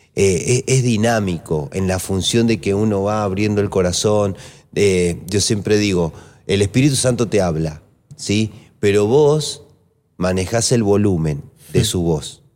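A man has an ordinary speaking voice, fairly low in pitch with ordinary pitch variation. He speaks at a fairly slow pace on a very clean recording with a silent background. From Argentina, Mendoza (Maipú). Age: 40s. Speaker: pastor. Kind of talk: casual chat about Bible teaching.

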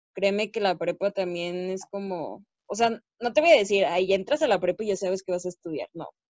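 Here a woman talks in an ordinary speaking voice at a medium pitch. Her pitch variation is ordinary and her pace moderate. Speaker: student podcast co-host. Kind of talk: casual chat.

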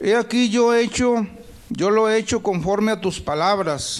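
Noticeable background noise sits behind a man speaking at a fairly slow pace. His pitch is high, with ordinary variation. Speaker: pastor. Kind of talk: sermon. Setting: church. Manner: animated, exhortatory preaching with frequent call-and-response (amén, aleluya); fervent, rhythmic, repeating 'hermanos' often.

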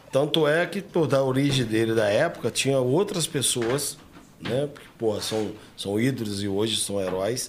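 A man talks at a moderate pace and medium pitch with lively intonation. He has a normal speaking voice. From Três Rios, Rio de Janeiro state, Brazil. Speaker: martial arts coach. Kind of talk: casual interview chat.

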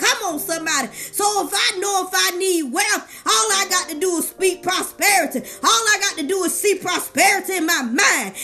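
Against noticeable background noise, a woman uses a raised, projected voice at an extremely high pitch, with a warm, animated tone, lively intonation and a moderate pace. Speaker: life coach and motivational speaker; podcaster. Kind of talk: sermon-style motivational preaching. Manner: animated, call-and-response preacher cadence; warm, encouraging, fervent.

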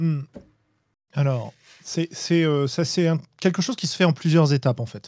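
The recording is dry and close with no echo as a man with a fairly high pitch talks fairly slowly, leaving long, frequent pauses, his pitch varying in an ordinary way. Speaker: tabletop game designer and podcaster. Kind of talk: casual chat. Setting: live online stream.

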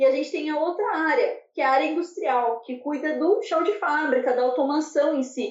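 This woman has a high voice with lively intonation and talks at a moderate pace. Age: 20s. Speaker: manufacturing engineer. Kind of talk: interview.

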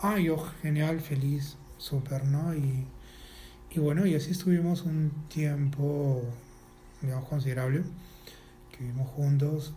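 A man speaks slowly in a fairly high, somewhat breathy voice with a dark, mellow tone and fairly even intonation. Long, frequent pauses break his speech, and audible room echo surrounds it. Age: 40s. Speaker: animal rights activist. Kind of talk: casual interview. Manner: halting, repeats words.

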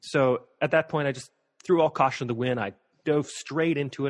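A man with an American accent and a normal speaking voice talks at a medium pitch with ordinary pitch variation, the sound dry and close with no echo against a quiet background. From US, Montana (Missoula). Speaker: performer and stage manager. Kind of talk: interview.

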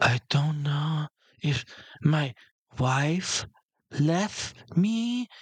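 A man speaks very slowly in a raspy, put-on character voice at a fairly high pitch with lively intonation. Long, frequent pauses break up his speech. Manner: cartoonishly exaggerated.

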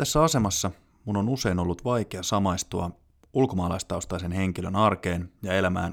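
A man's very deep, low pitch with ordinary pitch variation at a moderate pace, on a very clean recording with a silent background. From Finland. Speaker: podcast host. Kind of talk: scripted narration. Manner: formal.

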